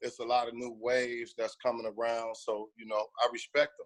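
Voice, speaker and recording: A man speaks at a medium pitch and a moderate pace. The sound is dry and close, with no echo. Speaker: rapper and music manager. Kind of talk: casual interview.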